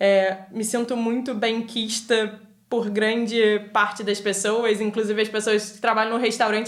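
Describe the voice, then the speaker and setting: A woman's fairly high, monotone voice with flat intonation, in a Rio de Janeiro accent, at a moderate pace with hardly any pauses and big swings in loudness. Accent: Rio de Janeiro Brazilian Portuguese. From Brazil, Rio de Janeiro. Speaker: podcast guest, immigrant. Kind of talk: casual chat.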